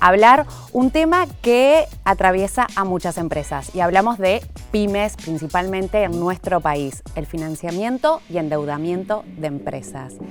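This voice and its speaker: Music plays in the background while a woman speaks. Her pitch is medium and her pace fairly slow. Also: lively intonation. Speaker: professional broadcaster, podcast host. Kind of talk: podcast host interview.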